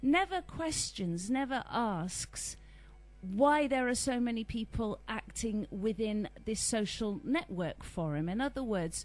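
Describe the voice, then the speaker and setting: Over background music, a woman speaks at a fairly slow pace with very wide pitch swings. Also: fairly high pitch for a woman. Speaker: interviewer. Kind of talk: interview question.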